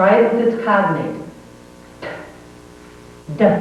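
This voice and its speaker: Noticeable background noise sits beneath this recording. The woman speaking has an American accent. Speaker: pronunciation teacher. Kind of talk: pronunciation lesson. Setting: home VHS recording. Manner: slow, deliberate.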